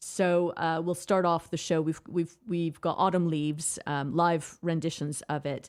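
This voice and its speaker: Delivered with hardly any pauses, the speech is monotone and flat, in a North American accent. The recording is very clean, with a silent background. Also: woman, fairly low pitch for a woman. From Canada. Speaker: theatre director. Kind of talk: radio interview. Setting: radio studio. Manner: hesitant, repeats words.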